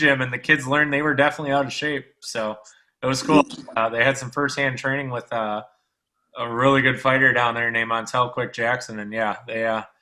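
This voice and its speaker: Delivered at a fairly quick pace with fairly even intonation, this is an ordinary speaking voice. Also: man, medium pitch for a man. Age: 30s. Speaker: sports podcast host. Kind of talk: casual chat.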